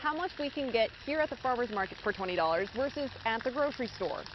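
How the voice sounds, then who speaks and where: Speaking very fast in a high voice, a woman swings her pitch very widely over noticeable background noise. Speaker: TV news reporter and anchor. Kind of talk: TV news field report.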